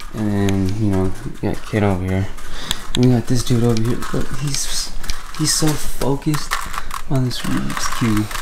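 Noticeable background noise sits behind a man speaking at a moderate pace. He takes long, frequent pauses. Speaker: vlogger. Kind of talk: casual vlog chat. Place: home room. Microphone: phone near.

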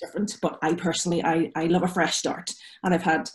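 With a Derry accent, a woman speaks fairly quickly at a fairly low pitch. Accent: Northern Irish (Derry). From Northern Ireland, Derry. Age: 40s. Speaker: concert pianist. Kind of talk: casual chat. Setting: video call. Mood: reflective, personal, open. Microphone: video call.

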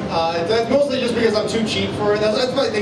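A man speaks over loud background noise, with audible room echo around him. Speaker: stand-up comedian. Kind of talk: stand-up comedy routine. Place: stage.

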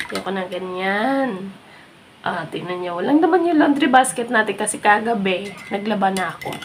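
There is noticeable background noise behind this woman. She speaks at a moderate pace with a medium pitch. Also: lively intonation, big swings in loudness. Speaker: lifestyle vlogger. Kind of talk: casual vlog. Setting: at home, living room.

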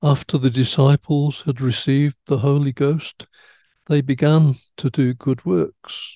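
Over a quiet background, a man speaks in a dark, mellow tone at a fairly slow pace, with fairly even intonation, very even loudness, and a dry sound with no echo. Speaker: religious teacher or study leader. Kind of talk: religious teaching talk. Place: home room. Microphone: headset.

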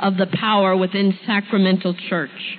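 A woman with an American accent speaks at a fairly slow pace with music in the background. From US Northeast, Brooklyn, New York. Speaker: speaker on spiritual deliverance. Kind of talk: testimony. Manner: authoritative.

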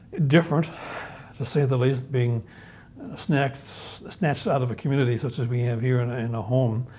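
Delivered at a moderate pace, a man's voice has a dark, mellow tone. His medium pitch holds a fairly even intonation.

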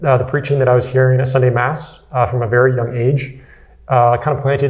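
A man speaks in a flat, monotone way with a somewhat breathy voice. The background is quiet. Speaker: interview guest. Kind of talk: interview answer. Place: studio. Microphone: lapel.

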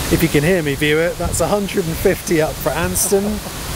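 The speech shows ordinary pitch variation. Noticeable background noise runs underneath. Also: man. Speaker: cricket commentator and club video maker. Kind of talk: live sports commentary on a cricket match. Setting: outdoors at a cricket ground in wind and rain. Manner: chatty and informal, interjecting 'oh dear' and laughing.

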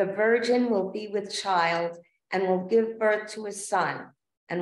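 Against audible room echo, a woman speaks at a fairly slow pace. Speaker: worship leader. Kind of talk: liturgical prayer and announcements. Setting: church. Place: church.

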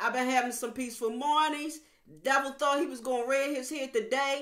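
A woman uses a raised, projected voice, high-pitched and bright, sharp in tone. Her intonation is fairly even, with audible room echo. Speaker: evangelist preacher. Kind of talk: fervent prayer; sermon. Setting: online video to viewers. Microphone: webcam.

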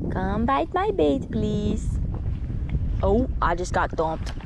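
With vocal fry and big pitch swings, a woman talks at a slow pace. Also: medium pitch for a woman.

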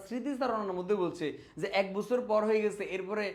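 A man's voice, high in pitch, its pitch variation ordinary. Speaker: exam tutor. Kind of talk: tutorial.

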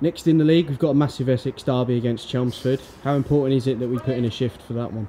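A man's dark, mellow voice at medium pitch, fast-paced, with fairly even intonation

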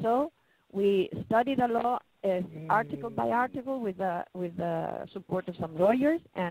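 A woman speaks in a Spanish accent at a fairly slow pace with very wide pitch swings. The sound is dry with no echo, over light background noise. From Chile. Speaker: patient advocate. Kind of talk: webinar presentation. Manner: halting. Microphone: video call.

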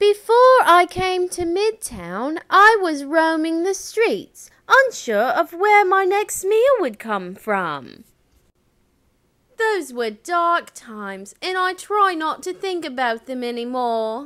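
A put-on character voice, female-sounding and extremely high, at a very slow pace with very wide pitch swings. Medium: voice reel. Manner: earnest, friendly.

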